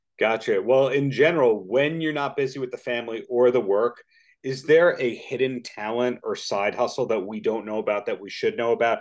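A plain, everyday voice with ordinary pitch variation against a quiet background. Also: man, medium pitch for a man. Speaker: podcast interviewer. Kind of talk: interview.

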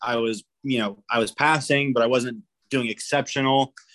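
It's an ordinary speaking voice: a man at a medium pitch with ordinary pitch variation and a dry, close sound with no echo. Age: 20s. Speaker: army soldier. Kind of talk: casual chat.

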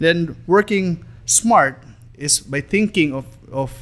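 This is a man speaking. He has a Filipino accent. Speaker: marketing executive. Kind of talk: promotional business talk. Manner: polite, code-switching Taglish.

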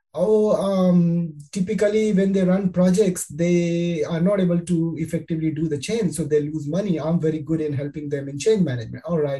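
This man's voice is high-pitched, with ordinary pitch variation and a moderate pace. He barely pauses, and background noise is noticeable. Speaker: podcast host. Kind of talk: interview conversation; scripted narration. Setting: remote call.

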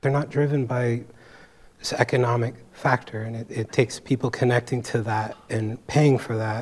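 This man talks at a moderate pace in a medium pitch, his somewhat breathy voice flat and monotone. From San Francisco Bay Area. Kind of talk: panel discussion.

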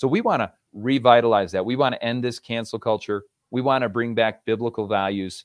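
A man with an ordinary speaking voice, fairly low in pitch, in an American accent, with a fairly quick pace and fairly even intonation. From New York State, Rochester. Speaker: author and motivational speaker. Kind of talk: interview, motivational talk.

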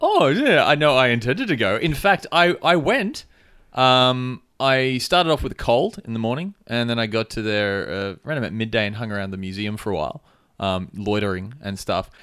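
A man with an Australian accent at a medium pitch and moderate pace, very wide pitch swings, in a very clean recording with a silent background. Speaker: podcast host. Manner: loud, tends to yell.

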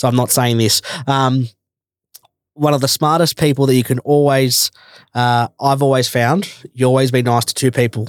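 In a dry, close sound with no echo, a man with an Australian accent and medium pitch talks at a moderate pace with fairly even intonation, very even loudness, and long, frequent pauses. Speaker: podcast host. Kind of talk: casual interview.

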